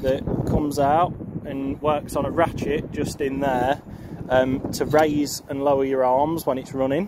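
The man's fairly slow speech has a dry sound with no echo, with noticeable background noise behind it. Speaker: farmer showing his tractor. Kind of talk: casual vlog walkaround commentary. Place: farm machine. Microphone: phone near.

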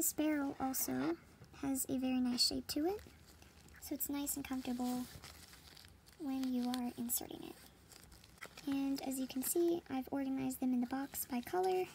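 Over light background noise, a woman with a high pitch speaks at a moderate pace with ordinary pitch variation. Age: young. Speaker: product reviewer. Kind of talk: product unboxing talk to camera. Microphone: phone near.

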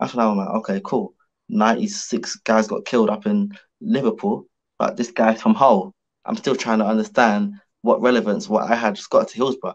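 Against a quiet background, a man with a London accent speaks with big swings in loudness. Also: moderate pace. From London, Hackney. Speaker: professional boxer; podcast guest. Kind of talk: casual interview. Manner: animated. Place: home room. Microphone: video call.

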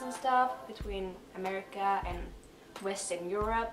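A woman at a fairly slow pace with ordinary pitch variation, amid light background noise and audible room echo. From Sweden. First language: Swedish. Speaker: exchange student. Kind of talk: casual talk to camera. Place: home room. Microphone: camera far.

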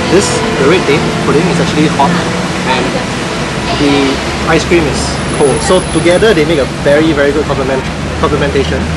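A man speaks fairly quickly with ordinary pitch variation while music plays in the background. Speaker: show host on a lunch date. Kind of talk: casual chat over lunch. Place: cafe.

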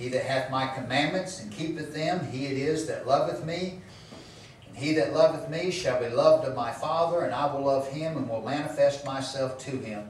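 The voice moves at a moderate pace, with light background noise and audible room echo. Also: man, ordinary pitch variation. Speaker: pastor. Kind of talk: sermon. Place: church.

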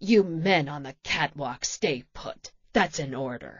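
A growling, put-on character voice with a low-to-middle pitch. It moves at a fairly slow pace. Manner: yelling, authoritative.

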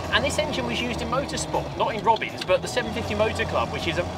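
Loud background noise fills the recording. Over it, a man talks at a very fast pace. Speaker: car reviewer. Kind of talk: casual road-test commentary. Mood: cheerful, enthusiastic. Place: car. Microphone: lapel.

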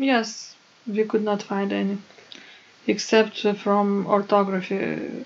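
Over audible room echo, a woman speaks slowly at a medium pitch with vocal fry and little pitch movement.

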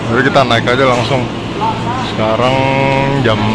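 Dry sound with no echo over loud background noise. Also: man. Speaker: travel vlogger. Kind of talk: casual vlog chat. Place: station. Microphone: phone near.

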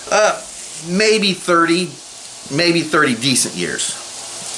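Light background noise sits under this recording. A man speaks with lively intonation. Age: 50s. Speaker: bushcraft YouTuber. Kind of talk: casual monologue while crafting. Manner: halting, many fillers. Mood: opinionated, candid. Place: home room. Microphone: webcam.

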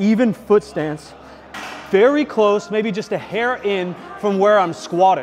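There is light background noise behind a man speaking at a high pitch with ordinary pitch variation. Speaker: fitness coach. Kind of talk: tutorial. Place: gym. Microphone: lapel.

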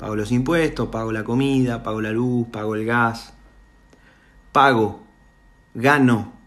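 A man with a Rioplatense accent, medium pitch, fairly even intonation and a fairly slow pace. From Argentina. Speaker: voice impressionist. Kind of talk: monologue to camera. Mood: earnest, emotional, somewhat indignant. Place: home room. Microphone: phone near.

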